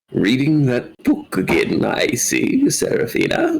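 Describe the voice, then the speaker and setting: Fairly slow speech from a man in a put-on character voice. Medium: actual play. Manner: kindly, wise.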